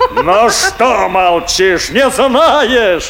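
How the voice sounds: In a put-on character voice, a man speaks very slowly at an extremely high pitch, with vocal fry, a fairly bright tone and lively intonation over faint background noise.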